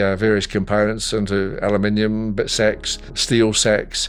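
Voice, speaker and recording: A man with a New Zealand accent at a fairly low pitch, fairly slow and monotone with flat intonation, music playing in the background. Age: 80s+. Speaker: retired telephone technician, electronics recycler. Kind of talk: interview monologue. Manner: halting, many fillers.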